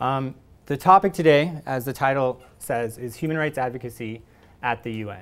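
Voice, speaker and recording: Ordinary pitch variation runs through a man's voice. He keeps a moderate pace. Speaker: conference lecturer. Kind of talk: lecture. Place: hall. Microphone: podium.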